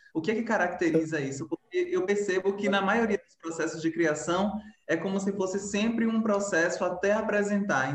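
A high-pitched man's voice with ordinary pitch variation at a moderate pace, over noticeable background noise. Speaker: dancer and live moderator. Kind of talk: casual online chat. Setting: video call live.

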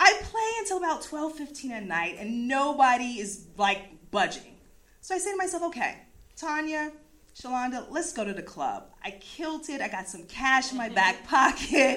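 In an American accent, a woman projects a raised voice at a high pitch with very wide pitch swings, a bright, sharp and animated tone, and a moderate pace. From US East Coast. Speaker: storyteller. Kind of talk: live storytelling.

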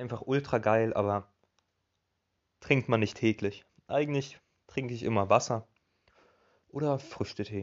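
A man of medium pitch with fairly even intonation, a fairly slow pace and long, frequent pauses. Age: 20s. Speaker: podcast host. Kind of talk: casual solo monologue.

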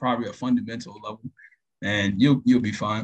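A man speaks at a fairly quick pace in an American accent, with medium pitch and fairly even intonation. The voice is an unremarkable speaking voice, and the sound is dry and close with no echo. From Florida (Tampa). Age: 20s. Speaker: network technician. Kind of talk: interview.

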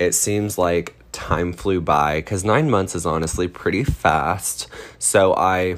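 Using an American accent, a man speaks at a fairly slow pace in a very deep, low pitch with ordinary pitch variation. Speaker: podcast host and cosmetologist. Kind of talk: casual monologue.

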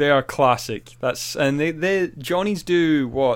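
Speaking at a fairly slow pace, a man with a fairly high voice uses ordinary pitch variation. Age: 30s. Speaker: podcast co-host. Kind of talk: casual chat. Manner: animated.

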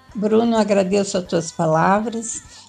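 A woman speaks at a very slow pace and a fairly high pitch with ordinary pitch variation, and noticeable background noise is present. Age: 60s. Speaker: reiki practitioner with Parkinson's. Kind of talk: casual group chat.

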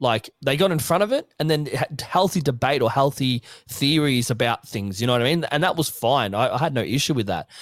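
Fairly quick, fairly high-pitched speech from a man with an Australian accent, lively in intonation and very even in loudness, with hardly any pauses and a dry, close sound with no echo. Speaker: podcast co-host. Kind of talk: casual chat.

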